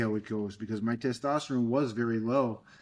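Fairly quick in pace, a man with an American accent and an unremarkable speaking voice talks. The recording is very clean, with a silent background. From Fall River, Massachusetts. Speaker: podcast host, fitness coach. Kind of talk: casual interview chat.

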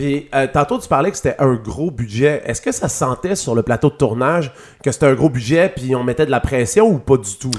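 A man's normal speaking voice at medium pitch, with lively intonation and a moderate pace. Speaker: podcast host. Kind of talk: interview.

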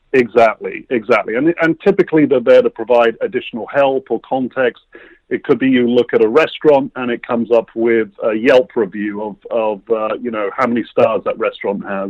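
A man at a fairly quick pace, with hardly any pauses. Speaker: tech company founder. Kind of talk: interview. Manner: hesitant with fillers.

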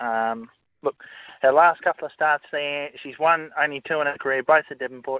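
A fairly high-pitched man with an Australian accent, at a fairly quick pace. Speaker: greyhound trainer or racing expert. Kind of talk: radio interview.

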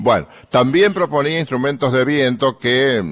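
Talking at a fairly slow pace is a man. Nothing can be heard behind him, and the recording is very clean. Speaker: radio host. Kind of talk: radio music commentary.

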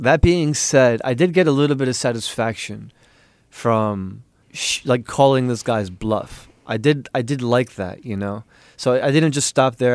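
In a very clean recording with a silent background, a man with an American accent uses an unremarkable speaking voice at a medium pitch, with ordinary pitch variation and a moderate pace. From US Northeast, New York City. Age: 20s. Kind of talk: interview.

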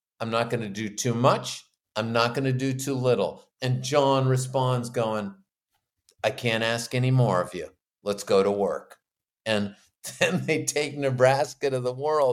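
This man has a normal speaking voice, medium in pitch, with fairly even intonation. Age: 50s. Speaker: author and musician. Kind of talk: interview.

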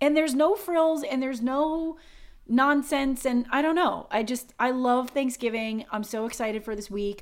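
At a moderate pace, a woman speaks in an animated tone with a high pitch. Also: ordinary pitch variation. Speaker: podcast co-host. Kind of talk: casual chat.

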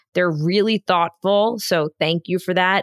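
A woman's fairly low voice at a moderate pace with ordinary pitch variation, in a dry, close sound with no echo. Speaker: news podcast co-host. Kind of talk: casual news rundown. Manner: loud.

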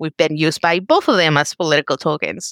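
A woman talks with a Spanish accent at a fairly quick pace. The sound is dry and close, with no echo. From Mexico, raised in Georgia from age 14. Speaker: family medicine resident doctor. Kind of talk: interview, personal story.

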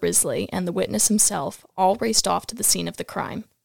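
A woman at medium pitch, with vocal fry. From upstate New York. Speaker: co-host, former student. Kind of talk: reading aloud.

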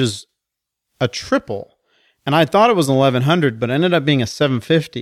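Dry and close with no echo, a normal speaking voice carries lively intonation. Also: man. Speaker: podcast host. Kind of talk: casual banter.

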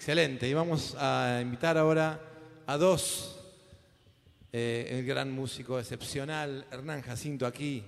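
Against noticeable background noise and audible room echo, a man talks at a medium pitch with ordinary pitch variation. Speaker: musical director and emcee. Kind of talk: live concert emceeing. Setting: stage with audience.

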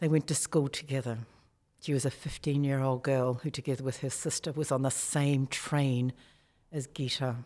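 A woman's very deep, low voice with a dark, mellow tone, monotone and flat, in a New Zealand accent, on a very clean recording with a silent background. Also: moderate pace. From New Zealand, small town. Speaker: author. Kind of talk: interview.

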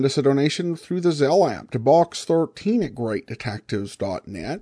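A man with a dark, mellow tone, fairly high in pitch, with lively intonation over a quiet background. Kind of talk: podcast host intro, outro and listener comment reply. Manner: casual, conversational, hesitant with filler words.

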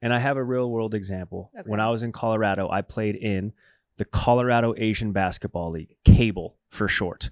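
Fairly quick and fairly low, a man talks in a normal speaking voice with fairly even intonation. The recording is very clean, with a silent background. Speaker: co-host sports talk. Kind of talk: casual banter sports talk show. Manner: laughs often, joking.

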